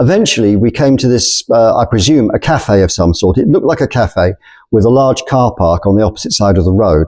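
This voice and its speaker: With an English accent, the speaker talks at a fairly quick pace in a dark, mellow tone, with lively intonation and very even loudness, on a very clean recording with a silent background. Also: man, medium pitch for a man. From England. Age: 60s. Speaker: storyteller. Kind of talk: personal storytelling.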